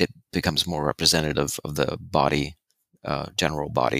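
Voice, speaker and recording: Speaking at a fairly quick pace, a man with a very deep, low pitch and a bright, sharp tone comes through a very clean recording with a silent background and a dry, close sound with no echo. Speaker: recurring guest and co-host. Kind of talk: casual chat. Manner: soft-spoken.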